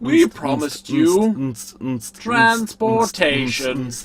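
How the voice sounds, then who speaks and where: A man's put-on character voice, high-pitched and very slow, with very wide pitch swings. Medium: game stream. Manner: polite, measured.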